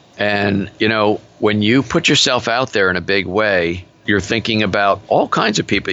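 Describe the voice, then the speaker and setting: Fairly quick delivery and fairly even intonation amid noticeable background noise. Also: man. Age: 60s. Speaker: business coach. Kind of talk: interview. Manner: forceful.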